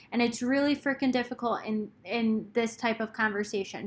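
A woman's fairly high voice, bright and sharp in tone, with monotone, flat intonation. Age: 20s. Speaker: podcast host. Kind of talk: solo advice podcast monologue. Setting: recording alone. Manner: casual, frequent ums and laughter.

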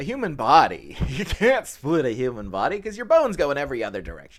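This man talks at a fairly quick pace in an animated tone with a high pitch. His voice moves through very wide pitch swings. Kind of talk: casual chat.

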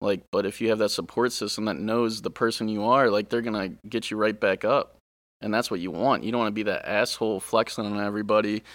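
In an American accent, a man talks at a very fast pace with fairly low pitch and flat, monotone intonation, on a very clean recording with a silent background. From Ohio, US Midwest. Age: 20s. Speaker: bodybuilder guest. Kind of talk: casual interview chat.

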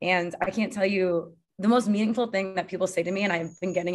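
Talking at a very fast pace in an American accent, a woman keeps a medium pitch and fairly even intonation. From Connecticut, US. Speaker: hospitality entrepreneur. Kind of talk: interview.

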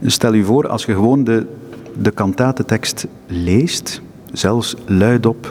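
Over noticeable background noise, a man talks in a fairly low pitch with fairly even intonation. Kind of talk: interview. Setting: crypt of a seminary, echoing room.

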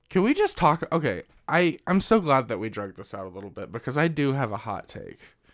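A man with an American accent speaks at a very fast pace, his fairly high voice showing vocal fry and very wide pitch swings. Loudness swings a lot, and the recording is very clean with a silent background. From Missouri, US Midwest. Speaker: podcast host. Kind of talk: casual chat.

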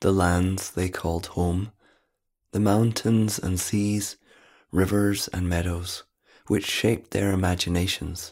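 Speaking in an unremarkable speaking voice, a man uses a fairly low pitch and fairly even intonation at a fairly slow pace, captured in a very clean recording with a silent background. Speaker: prayer reader. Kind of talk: reading aloud.

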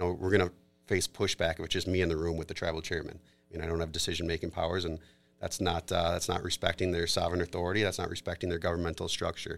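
Very deep and low, a man's voice carries an Upper Midwest accent at a very fast pace with monotone, flat intonation. The recording is very clean, with a silent background. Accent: Upper Midwest American. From Minnesota, Twin Cities area. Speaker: corporate attorney. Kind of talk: casual interview. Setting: studio.

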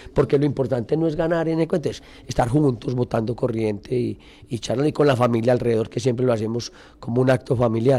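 Talking at a very fast pace, a man uses a dark, mellow tone with ordinary pitch variation. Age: 60s. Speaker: politician. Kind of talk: radio interview. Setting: radio studio.

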